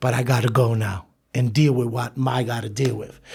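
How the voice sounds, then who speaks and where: A man talks at a fairly quick pace in a medium pitch with ordinary pitch variation. His voice is somewhat breathy. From New York City (Brooklyn). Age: 50s. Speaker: former gang leader turned community leader. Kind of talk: interview.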